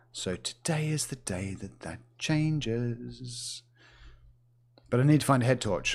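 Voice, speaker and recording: A man speaks in a New Zealand accent with ordinary pitch variation. The recording is very clean, with a silent background. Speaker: gaming streamer. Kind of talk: gameplay livestream commentary. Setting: livestream. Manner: animated.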